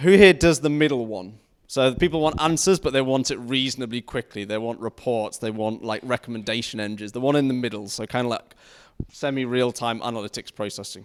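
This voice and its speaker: A man with a northern English accent at a medium pitch, talking at a fairly quick pace with ordinary pitch variation, on a very clean recording with a silent background. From northern England. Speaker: tech conference speaker. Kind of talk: technical talk. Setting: stage with audience.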